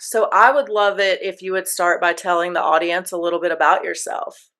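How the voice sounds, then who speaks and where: A woman talks with an American accent in a normal speaking voice. Her pitch is medium with ordinary variation, and her pace is moderate. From United States. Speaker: podcast host. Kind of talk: podcast interview.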